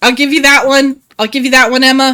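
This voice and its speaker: Raised and projected, a woman's high-pitched voice with an American accent carries a bright, sharp tone and an animated tone at a moderate pace. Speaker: video game streamer. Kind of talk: casual live stream chat.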